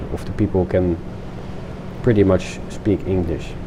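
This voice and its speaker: Over noticeable background noise, a man with a Dutch accent speaks in a fairly low pitch. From Netherlands. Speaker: video game streamer. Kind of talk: casual gameplay commentary. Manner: halting.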